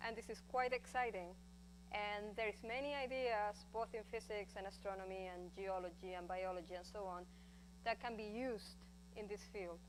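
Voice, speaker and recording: A woman talks at a moderate pace. Her voice carries audible room echo. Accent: strong Spanish. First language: Spanish. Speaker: astrophysicist. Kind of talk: lecture.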